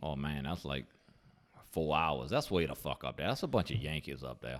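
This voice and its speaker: A man with a Louisiana accent speaks at a very deep, low pitch with vocal fry and ordinary pitch variation. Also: moderate pace. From southern Louisiana, near the Gulf. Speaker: beer review podcast co-host. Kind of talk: casual chat.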